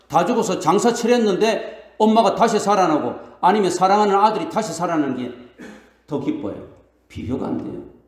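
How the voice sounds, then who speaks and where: In a room with audible echo, a man speaks with a high pitch and very wide pitch swings. His pace is fairly quick. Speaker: pastor. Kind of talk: sermon. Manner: fast, stammering when excited.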